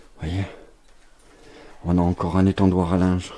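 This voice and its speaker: A soft-spoken man talks in a very deep, low voice. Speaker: urbex youtuber. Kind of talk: walkthrough vlog narration.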